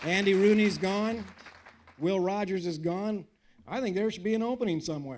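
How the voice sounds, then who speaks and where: A man speaks with a high pitch and ordinary pitch variation. Room echo is audible, and crowd noise sits in the background. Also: moderate pace. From United States. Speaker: political speaker, former lawman. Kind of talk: public speech with audience Q&A. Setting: stage with audience. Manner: animated.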